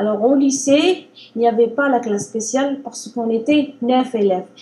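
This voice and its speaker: An ordinary speaking voice talks at a fairly slow pace with ordinary pitch variation. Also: woman. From Algeria. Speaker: language learner. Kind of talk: interview.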